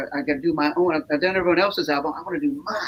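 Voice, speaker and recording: Very wide pitch swings mark this voice with an American accent, heard over noticeable background noise. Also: man. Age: 60s. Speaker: singer-songwriter. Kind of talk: casual interview chat. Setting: live stream show. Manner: halting, repeats words.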